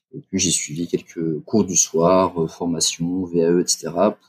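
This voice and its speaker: A man's very deep, low voice with a dry, close sound and no echo. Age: 40s. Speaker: fundraising and communications director. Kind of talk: interview. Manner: halting, with frequent repetitions.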